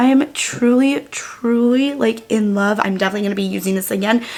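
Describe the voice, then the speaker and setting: The woman speaks at a medium pitch and a moderate pace while noticeable background noise continues. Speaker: beauty YouTuber. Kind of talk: makeup tutorial. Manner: animated.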